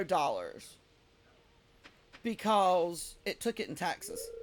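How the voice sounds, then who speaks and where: Speech comes at a very slow pace. It carries a Southern US accent. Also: woman. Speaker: game streamer. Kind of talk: casual live-stream chat while gaming. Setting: live stream.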